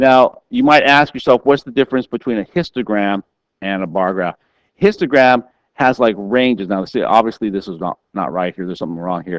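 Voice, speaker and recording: At a fairly quick pace, a man with an ordinary speaking voice talks at medium pitch with lively intonation, the sound dry and close with no echo. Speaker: math teacher. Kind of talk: tutorial.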